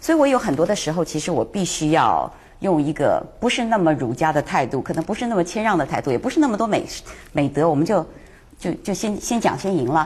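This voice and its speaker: Her pitch swings very widely at a fairly quick pace. The woman sounds somewhat breathy. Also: fairly low pitch for a woman. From Taiwan. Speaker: talk show guest commentator. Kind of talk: casual chat.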